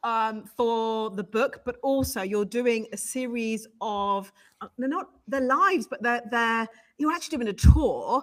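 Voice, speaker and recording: A woman speaks with a British accent. Her pitch is fairly high. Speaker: live show host. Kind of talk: live broadcast interview.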